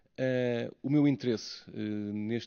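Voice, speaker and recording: A man speaks with a European Portuguese accent. His intonation stays fairly even. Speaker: academic researcher. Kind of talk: conference talk. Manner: slow; halting.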